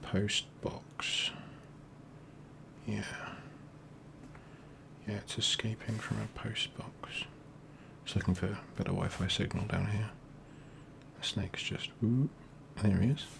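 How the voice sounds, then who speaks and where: A man whispers at a very slow pace, with long, frequent pauses. Noticeable background noise runs underneath. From England. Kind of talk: ASMR doodling ramble, casual talk to camera. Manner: quiet, soft-spoken.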